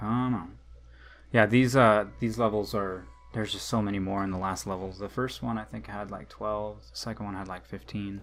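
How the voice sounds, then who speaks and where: Music plays in the background as a man talks at a moderate pace with a fairly low pitch and ordinary pitch variation. His loudness swings a lot, and he leaves long, frequent pauses. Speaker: gaming youtuber. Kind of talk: let's play commentary. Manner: casual, hesitant with fillers.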